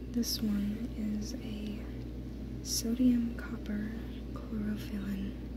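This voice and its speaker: Over noticeable background noise, a woman speaks very slowly in a very deep, low voice, calm in tone, with monotone, flat intonation. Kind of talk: ASMR soft-spoken show and tell. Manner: soft-spoken, whispery, calm.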